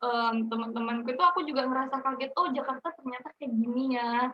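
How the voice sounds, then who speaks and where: A high-pitched woman's voice with a slight Balinese accent. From Bali and Banyuwangi, East Java. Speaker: university student. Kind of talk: interview. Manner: casual, with many fillers.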